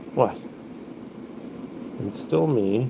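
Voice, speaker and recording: Noticeable background noise and audible room echo fill this recording. A man with an American accent speaks at a very slow pace and medium pitch. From US Midwest. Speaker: livestreamer, pet rabbit owner. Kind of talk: casual livestream chat.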